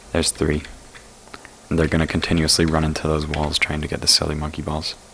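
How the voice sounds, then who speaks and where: A man whispers at a fairly quick pace, with long, frequent pauses. Background noise is noticeable. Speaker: gaming tutorial creator. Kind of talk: casual game tutorial commentary. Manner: casual, hesitant with fillers.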